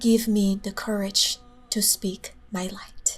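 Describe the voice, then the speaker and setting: A woman speaks at a very slow pace with fairly even intonation. Music plays in the background. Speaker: spiritual podcaster. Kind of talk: spiritual monologue. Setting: in her room.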